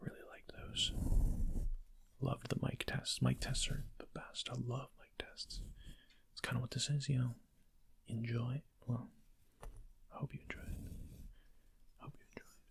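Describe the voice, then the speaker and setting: Whispering broken up by long, frequent pauses. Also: moderate pace. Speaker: ASMR creator. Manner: soft-spoken.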